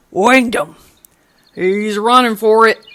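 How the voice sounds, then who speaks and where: Putting on a gruff character voice, a man talks at a fairly slow pace, pitched high with fairly even intonation. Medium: read story. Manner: gruff, curt.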